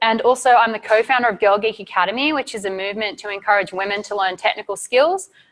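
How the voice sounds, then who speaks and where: A woman talks at a very fast pace with a strong Australian accent. Her pitch is fairly high, with ordinary pitch variation. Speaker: site reliability engineer, conference speaker. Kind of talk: conference talk.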